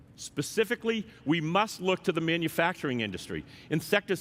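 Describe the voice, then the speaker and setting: Talking at a fairly quick pace, a man with an American accent has a high pitch and lively intonation. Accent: Boston accent, joked about. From Boston. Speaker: software executive. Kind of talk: conference keynote. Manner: formal.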